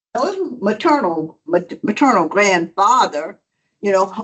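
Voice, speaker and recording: A woman with a Southern US accent, lively intonation and a fairly slow pace. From South Georgia, US South. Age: 70s. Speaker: audience member. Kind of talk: audience question.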